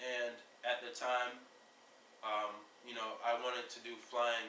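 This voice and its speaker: Audible room echo surrounds a man of medium pitch who speaks fairly slowly in a flat monotone with long, frequent pauses. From Jamaica. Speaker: aviation network founder. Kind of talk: informal video introduction. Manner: halting, many fillers.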